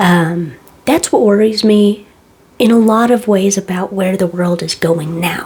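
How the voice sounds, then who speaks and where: A woman talks at a fairly slow pace. Background noise is noticeable. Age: 20s. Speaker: tattoo artist. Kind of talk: casual chat. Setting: home kitchen. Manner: soft-spoken.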